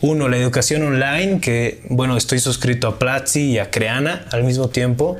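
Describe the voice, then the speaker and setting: Over noticeable background noise, a man of medium pitch talks at a moderate pace with ordinary pitch variation, very even loudness and hardly any pauses. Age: 20s. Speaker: entrepreneur and university student. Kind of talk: casual interview.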